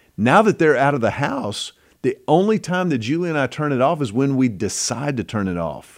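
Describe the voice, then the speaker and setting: A man at a fairly high pitch, with very wide pitch swings, at a moderate pace. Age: 50s. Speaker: podcast host. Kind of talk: casual chat.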